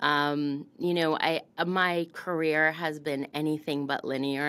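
The speaker has an American accent and a monotone, flat intonation. The pace is fairly slow. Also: woman. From US South, Florida. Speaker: beauty industry founder and CEO; podcast guest. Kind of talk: interview. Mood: warm, reflective. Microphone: studio mic.

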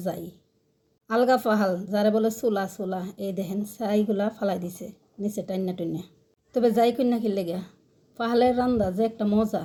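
Fairly even intonation carries a tone that is dark and mellow. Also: woman. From Bangladesh, Brahmanbaria region. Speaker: cooking and village-life vlogger. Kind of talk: casual vlog narration. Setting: outdoors in a village.

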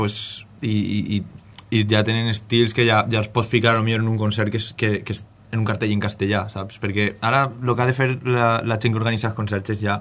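Medium-pitched male speech, bright and sharp in tone, flat and monotone, at a moderate pace. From Valencian Country, Benifalló; Valencian Country. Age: 20s. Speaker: musician. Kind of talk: radio interview. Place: studio.

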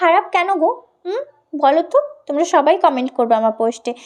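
This woman's voice swings very widely in pitch. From West Bengal, Contai (Purba Medinipur). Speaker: vlogger and model. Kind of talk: vlog narration. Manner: casual, chatty.

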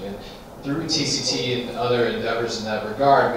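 A man talks at a moderate pace. Strong room echo and noticeable background noise fill the recording. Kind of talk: press conference remarks. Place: meeting room.

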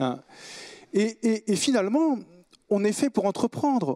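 Rather unhurried male speech in quiet surroundings. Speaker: business owner; panelist. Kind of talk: panel discussion. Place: hall. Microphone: handheld.

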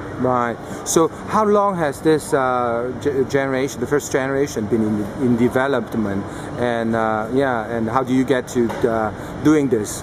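The speaker goes at a moderate pace with long, frequent pauses. Noticeable background noise runs underneath. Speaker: tech video interviewer. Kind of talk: interview. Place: hall.

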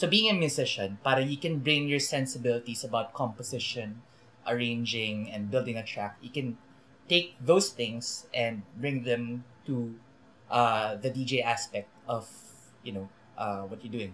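Light background noise sits under a man whose pitch varies in an ordinary way. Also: moderate pace, big swings in loudness. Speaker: DJ. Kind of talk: interview answer. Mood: relaxed, smiling. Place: office.

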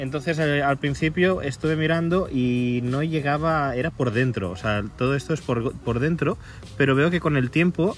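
A man speaks with very even loudness and ordinary pitch variation. The sound is dry with no echo, over light background noise. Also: moderate pace. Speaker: car hobby vlogger. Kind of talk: tutorial. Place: street. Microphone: phone near.

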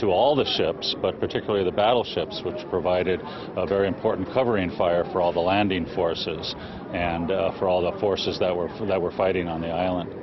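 Noticeable background noise surrounds a man with a very deep, low pitch. His intonation is fairly even, and the sound is dry with no echo. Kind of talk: interview answer. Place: street. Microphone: handheld.

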